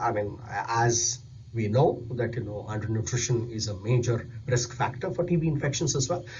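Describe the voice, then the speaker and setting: Somewhat breathy speech at a moderate pace, with audible room echo. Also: man. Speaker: nutrition specialist. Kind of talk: recorded presentation.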